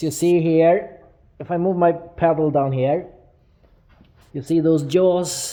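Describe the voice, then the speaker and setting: Very slow speech from a man with a Swedish accent. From Sweden. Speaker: metal fabricator. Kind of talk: tutorial. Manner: hesitant with many fillers.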